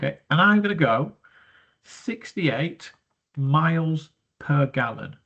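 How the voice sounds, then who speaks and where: A man speaks with a British accent. His pitch is fairly high and somewhat breathy. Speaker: business studies teacher. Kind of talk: tutorial. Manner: breathy, sounds out of breath.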